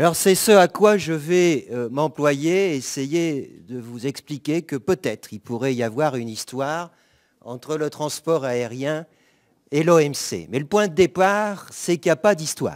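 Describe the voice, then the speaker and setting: A man's fairly high voice with lively intonation at a very slow pace, dry and close with no echo, on a very clean recording with a silent background. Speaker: law professor. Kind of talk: conference talk. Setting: conference with audience.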